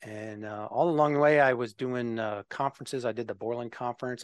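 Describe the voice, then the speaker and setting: In a dry, close sound with no echo, a man with an American accent talks very fast at a medium pitch with monotone, flat intonation. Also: quiet background. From Minnesota, US Midwest. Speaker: software developer advocate, navy veteran. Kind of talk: interview conversation. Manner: halting, many fillers.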